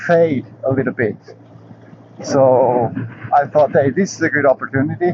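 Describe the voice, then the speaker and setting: A man's medium-pitched voice with ordinary pitch variation, set against noticeable background noise. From Portugal, emigrated young to another country. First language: not English (English is third language). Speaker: motorcycle vlogger. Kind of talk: casual vlog talk. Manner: halting with fillers.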